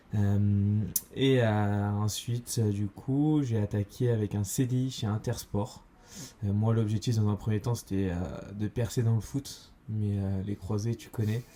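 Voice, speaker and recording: Dark and mellow, a man's voice sits fairly low and is somewhat breathy. His intonation stays fairly even. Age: 20s. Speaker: entrepreneur, podcast co-host. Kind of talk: casual chat. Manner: hesitant, many fillers.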